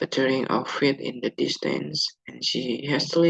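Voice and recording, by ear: The text is heard reading aloud in a natural voice, its pitch shifting in an ordinary way.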